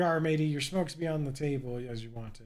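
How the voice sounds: Using a gruff, put-on character voice at a fairly high pitch, a man speaks at a very fast pace.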